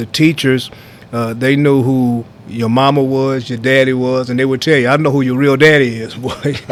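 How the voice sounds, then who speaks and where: Over noticeable background noise, a man talks with an American accent at a moderate pace. His pitch is medium, and his intonation is monotone and flat. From US Midwest, Kansas City. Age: 70s. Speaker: basketball coach. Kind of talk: casual interview conversation.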